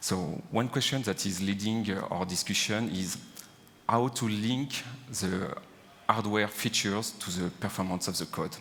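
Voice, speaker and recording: A man talks in a fairly low voice. His pitch varies in an ordinary way, and his pace is fairly slow. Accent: French. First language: French. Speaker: engineer. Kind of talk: conference talk. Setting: stage with audience. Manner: hesitant, many fillers.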